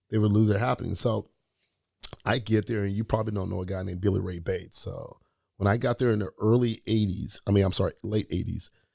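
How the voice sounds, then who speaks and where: Very fast and animated, a man speaks at a fairly low pitch with an American accent. The sound is dry and close with no echo. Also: very clean recording, silent background. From Oakland, California. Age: 50s. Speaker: basketball coach and former pro athlete. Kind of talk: casual interview storytelling.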